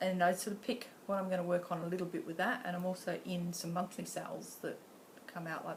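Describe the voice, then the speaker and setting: Over noticeable background noise and audible room echo, a woman with an Australian accent talks at a fairly quick pace in a fairly low voice. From Western Australia (Pilbara). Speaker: cross-stitch vlogger. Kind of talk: casual vlog talk. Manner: casual, with many fillers.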